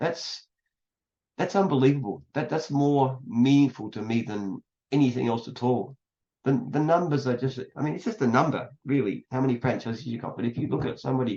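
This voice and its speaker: With an Australian accent, a man talks at a fairly quick pace in a medium pitch with ordinary pitch variation. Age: 70s. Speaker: entrepreneur. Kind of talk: casual chat.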